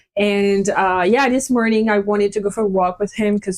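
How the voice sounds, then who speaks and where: The speaker has a French accent and a moderate pace. Pitch varies in an ordinary way. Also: woman. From France. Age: 30s. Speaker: guest. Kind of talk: casual chat.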